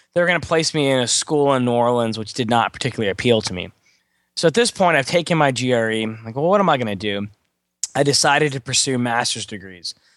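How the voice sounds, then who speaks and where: A man with an American accent speaks at a very fast pace and a medium pitch. His intonation is lively, and the background is quiet. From Texas, Beaumont. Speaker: test prep instructor. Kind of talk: interview.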